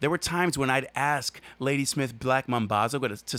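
With ordinary pitch variation and a medium pitch, a man speaks in an ordinary speaking voice, recorded very cleanly with a silent background. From New York, Orange County suburbs. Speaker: podcast co-host. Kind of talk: casual chat.

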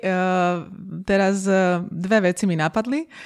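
A woman's medium-pitched voice at a very slow pace, with ordinary pitch variation, in a very clean recording with a silent background. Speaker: coach and lecturer. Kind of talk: interview conversation. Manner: enthusiastic, energetic.

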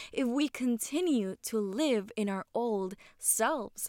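A woman's raised, projected voice, bright and sharp in tone with very wide pitch swings, in a very clean recording with a silent background and a dry, close sound with no echo. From Puerto Rico. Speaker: faith podcast host. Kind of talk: devotional talk.

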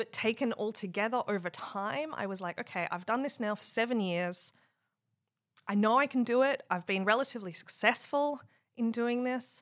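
A woman's fairly high voice with an Australian accent and ordinary pitch variation. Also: moderate pace. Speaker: software engineering leader. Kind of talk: casual interview chat.

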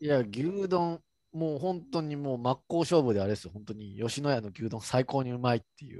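A dark, mellow voice with a Kansai accent, fairly quick and lively in intonation, with big swings in loudness and a dry, close sound with no echo. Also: man, medium pitch for a man. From Kansai, Japan. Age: 30s. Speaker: podcast co-host. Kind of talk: casual chat.

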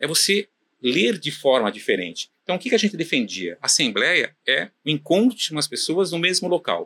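A man with a fairly high pitch and vocal fry speaks at a moderate pace with very wide pitch swings, his tone bright and sharp, in a dry, close recording with no echo. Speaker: property management company founder. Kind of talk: casual interview chat. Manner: halting, many fillers.

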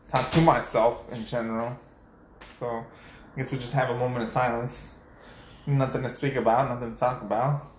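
A somewhat breathy man speaks at a moderate pace with flat, monotone intonation. Audible room echo surrounds his voice. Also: medium pitch for a man. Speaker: podcast co-host. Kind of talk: casual chat.

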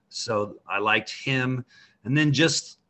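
A man with an American accent has an unremarkable speaking voice, medium in pitch with ordinary pitch variation. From Idaho. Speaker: high school basketball coach. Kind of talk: casual interview.

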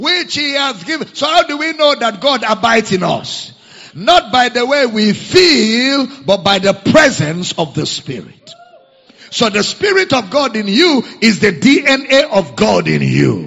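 Amid noticeable background noise, a man with an extremely high pitch speaks at a fairly slow pace, his pitch swinging very widely. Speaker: preacher. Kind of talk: sermon. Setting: church.

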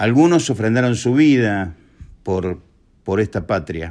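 Over a very clean recording with a silent background, a man at a medium pitch speaks fairly slowly with very wide pitch swings. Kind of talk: recorded testimony.

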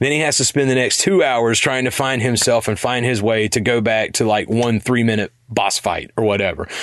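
An ordinary speaking voice holds very even loudness at a moderate pace, with ordinary pitch variation and hardly any pauses. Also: man. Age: 40s. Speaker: podcast segment host. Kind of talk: casual chat.

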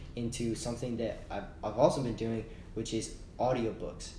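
With an American accent, a man speaks at a medium pitch in a somewhat breathy voice, and audible room echo surrounds him. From Texas, Austin. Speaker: podcast co-host. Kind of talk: casual chat.

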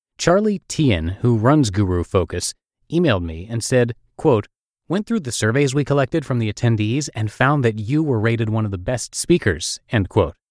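A man with an unremarkable speaking voice speaks at a moderate pace and medium pitch with lively intonation, recorded very cleanly against a silent background in a dry, close sound with no echo. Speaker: podcast host and narrator. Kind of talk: reading aloud.

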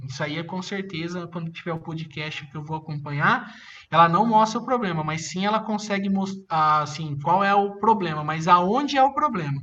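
A man's bright, sharp, high-pitched voice at a fairly quick pace, with ordinary pitch variation. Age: 30s. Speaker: drone industry specialist. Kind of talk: interview.

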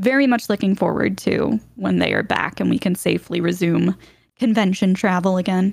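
At a moderate pace, a woman's words come through in a dry, close sound with no echo. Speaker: Twitch streamer and voice actor. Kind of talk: casual interview chat. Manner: lively.

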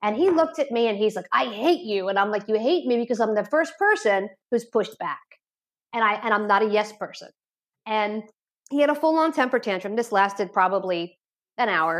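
In an ordinary speaking voice, a woman talks fairly quickly at a fairly high pitch with lively intonation. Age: 40s. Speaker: addiction therapist. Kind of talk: interview. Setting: remote call.

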